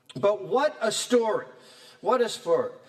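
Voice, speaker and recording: A man's animated voice with audible room echo. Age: 60s. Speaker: professor. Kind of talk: lecture.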